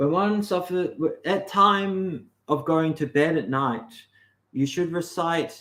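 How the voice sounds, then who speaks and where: The voice has a bright, sharp tone and an Australian accent. It moves at a very slow pace with ordinary pitch variation. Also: man, high pitch for a man. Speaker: livestream host on mysticism. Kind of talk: casual livestream talk. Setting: live stream. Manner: halting.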